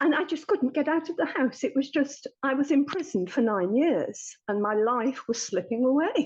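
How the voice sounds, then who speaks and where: A woman's high voice in an English accent, with lively intonation, a moderate pace and hardly any pauses. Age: 60s. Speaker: therapy client. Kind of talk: testimony.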